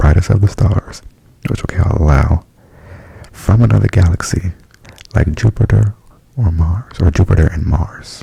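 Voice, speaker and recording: Soft-spoken and very deep, low-pitched, a man talks at a fairly slow pace with lively intonation. The sound is dry and close with no echo, though noticeable background noise is present. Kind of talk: ASMR album review. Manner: casual, chatty.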